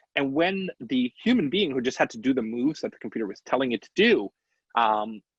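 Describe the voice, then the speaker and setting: Very fast speech from a man with very wide pitch swings, in a dry, close sound with no echo. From Canada. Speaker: engineer and design thinking instructor. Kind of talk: lecture. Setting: video call. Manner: animated.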